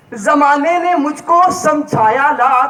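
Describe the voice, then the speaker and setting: Fairly even in intonation, a man speaks at an extremely high pitch. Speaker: student speaker. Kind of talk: humorous stage speech.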